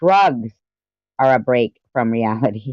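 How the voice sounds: A woman at a fairly slow pace, ordinary pitch variation, dry, close sound with no echo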